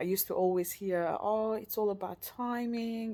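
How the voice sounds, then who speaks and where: Her dark, mellow tone comes with a non-native accent as the woman speaks. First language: not English. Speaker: vlogger. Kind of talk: personal video diary. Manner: halting, searching for words.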